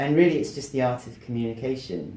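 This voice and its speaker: Speaking with an English accent, a man has a dark, mellow tone, and the room echo is audible. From England. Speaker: motivational speaker and author. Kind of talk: interview. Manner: articulate.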